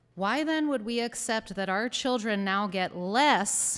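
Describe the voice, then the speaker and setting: Audible room echo surrounds a woman who speaks fairly slowly at a medium pitch with lively intonation. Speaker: parent speaking at public hearing. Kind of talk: public comment speech. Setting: town council public hearing. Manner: loud.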